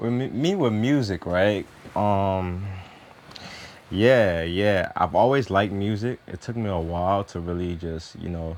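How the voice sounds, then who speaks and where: Using an ordinary speaking voice, a man with an American accent talks at a fairly slow pace and fairly low pitch, with ordinary pitch variation. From US South, Houston, Texas (Nigerian-born). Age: 30s. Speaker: musician. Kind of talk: interview. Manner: casual.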